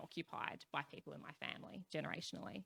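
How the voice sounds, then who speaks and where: A woman talks at a fairly quick pace in an Australian accent. Her tone is bright and sharp. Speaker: youth activist panelist. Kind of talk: panel discussion. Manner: loud.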